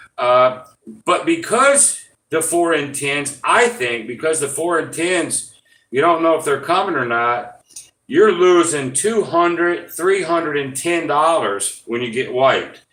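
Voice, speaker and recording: The voice has a bright, sharp tone and lively intonation at a fairly slow pace. Audible room echo surrounds it. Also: man, fairly high pitch for a man. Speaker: gambling YouTuber. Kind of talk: live stream casual explanation. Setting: live stream. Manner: mumbling; hesitant, many fillers.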